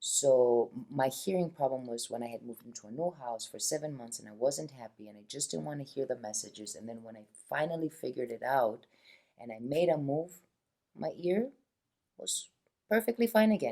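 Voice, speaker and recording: Soft-spoken and dark, mellow in tone, the voice moves at a fairly quick pace through very wide pitch swings. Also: woman, very deep, low pitch for a woman, big swings in loudness. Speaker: wellness practitioner. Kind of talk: casual conversation.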